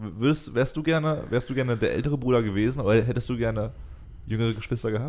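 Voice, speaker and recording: A man speaks very fast, his medium pitch rising and falling in an ordinary way. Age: 20s. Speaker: podcast host. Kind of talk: casual chat. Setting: recorded separately, voice messages.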